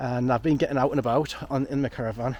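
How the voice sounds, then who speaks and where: A man is speaking. He has a Geordie accent. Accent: northeast English (Geordie). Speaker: photography vlogger. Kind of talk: casual vlog monologue. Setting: outdoors in woodland. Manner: rambling, chatty.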